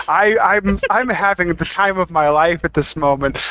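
With a raised, projected voice, a man speaks at a moderate pace, and the sound is dry and close with no echo. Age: 30s. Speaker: podcast co-host. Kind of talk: casual chat.

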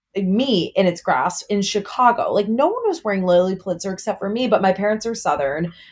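In a very clean recording with a silent background, a woman with medium pitch and ordinary pitch variation talks in an ordinary speaking voice. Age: 20s. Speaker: TikTok creator. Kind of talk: casual chat.

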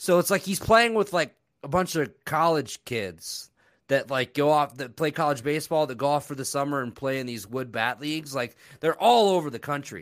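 On a very clean recording with a silent background, a man with an unremarkable speaking voice and a fairly high pitch talks at a moderate pace with lively intonation. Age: 20s. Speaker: sports betting podcast guest. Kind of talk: casual chat.

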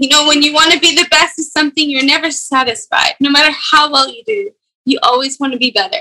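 A woman's high, raised and projected voice at a very fast pace, with ordinary pitch variation. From Scotland. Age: 20s. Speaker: professional golfer. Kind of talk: casual chat.

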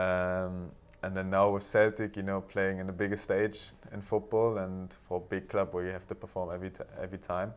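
A man's very deep, low voice in a German accent, monotone and flat, at a fairly quick pace. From Germany, Berlin. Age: 20s. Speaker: professional footballer. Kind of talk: interview. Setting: studio.

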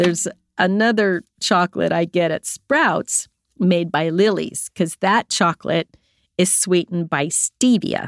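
A woman speaks slowly-ish with a fairly low pitch, ordinary pitch variation and very even loudness. The recording is very clean and dry, close with no echo, on a silent background. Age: 60s. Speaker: podcast host. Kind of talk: personal reflective monologue. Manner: laughs often.

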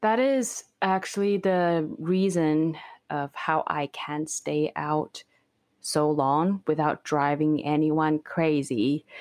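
Against a quiet background, a woman with a very deep, low pitch talks at a very slow pace with ordinary pitch variation. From Beijing, China; moved to Canada at 16. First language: Mandarin. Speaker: overlander and video creator. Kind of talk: interview conversation.

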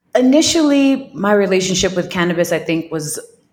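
In an American accent, a woman talks at a moderate pace with ordinary pitch variation, and audible room echo surrounds her voice. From Staten Island, New York. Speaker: cannabis wellness entrepreneur. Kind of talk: interview storytelling.

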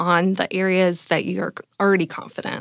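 With a Californian accent, a woman speaks at a medium pitch in a very clean recording with a silent background and a dry, close sound with no echo. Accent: Californian American. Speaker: confidence and mindset coach. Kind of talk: coaching conversation. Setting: studio.

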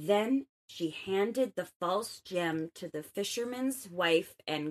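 The plain reading aloud has lively intonation, set against a quiet background.

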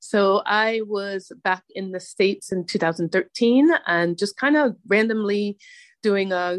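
A woman talks in a normal speaking voice at a medium pitch with ordinary pitch variation. The sound is dry and close with no echo, over a quiet background. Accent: American. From Hartford, Connecticut, US. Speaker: podcast host, guest. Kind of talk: interview.

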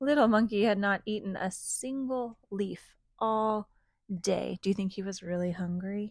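With ordinary pitch variation, the clip is plain reading aloud.

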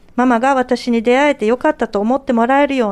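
A woman talks at a fairly quick pace with a high pitch and ordinary pitch variation. The sound is dry and close, with no echo. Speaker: radio panelist. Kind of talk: radio talk show, reading listener mail aloud. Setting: radio studio, late-night live broadcast.

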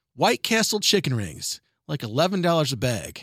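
In a raised, projected voice with a bright, sharp, animated tone, a man speaks at a moderate pace with very wide pitch swings, the sound dry and close with no echo in a very clean recording with a silent background. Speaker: radio host. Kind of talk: radio news segment. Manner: loud.

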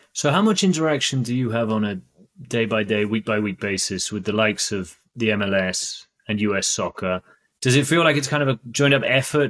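A man with a British accent at medium pitch and a fairly quick pace, with ordinary pitch variation, on a very clean recording with a silent background. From Britain. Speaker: podcast host. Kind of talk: interview.

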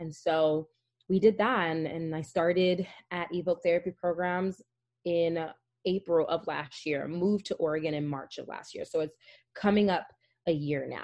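With an American accent and a plain, everyday voice, a woman speaks at a moderate pace and fairly low pitch, her intonation fairly even but her loudness swinging widely, over a quiet background. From New Jersey (North Jersey). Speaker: family therapist. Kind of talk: interview.

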